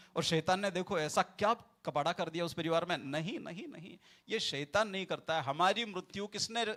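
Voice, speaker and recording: In a very clean recording with a silent background, a man speaks at a high pitch with a bright, sharp tone and ordinary pitch variation. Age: 40s. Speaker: pastor. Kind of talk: sermon. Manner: repetitive, emphatic.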